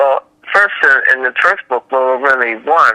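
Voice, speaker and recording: Here a man speaks at a medium pitch with a bright, sharp tone and an American accent. The sound is dry and close, with no echo. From Washington, D.C., US. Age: 60s. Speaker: children's book author. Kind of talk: interview.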